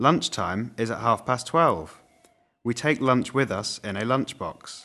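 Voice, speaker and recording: With a Mancunian accent and a bright, sharp tone, a man talks fairly slowly, his pitch varying in an ordinary way. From northern England, Manchester. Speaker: language teaching narrator. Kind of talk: reading aloud. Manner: formal.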